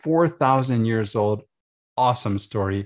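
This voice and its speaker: The speaker has a plain, everyday voice with lively intonation at a moderate pace. The background is quiet. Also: man. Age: 50s. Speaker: homeschool conference presenter and former university teacher. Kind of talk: conference presentation. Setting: online conference.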